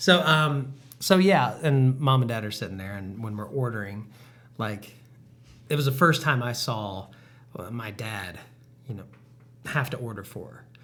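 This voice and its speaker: With audible room echo, a man talks at a moderate pace, pausing long and often as his loudness swings widely. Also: medium pitch for a man, lively intonation. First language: not English. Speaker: podcast co-host. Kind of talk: casual chat.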